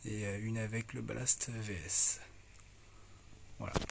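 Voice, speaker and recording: A soft-spoken man talks at a very slow pace in a medium pitch. His voice is somewhat breathy, with fairly even intonation. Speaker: hobbyist video creator. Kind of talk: casual show-and-tell tutorial. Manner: halting, many fillers.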